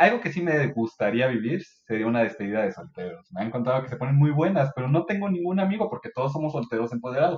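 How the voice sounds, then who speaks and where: This man speaks at a very fast pace with hardly any pauses. His fairly high voice makes very wide pitch swings. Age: 30s. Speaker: podcast guest. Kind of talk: casual chat.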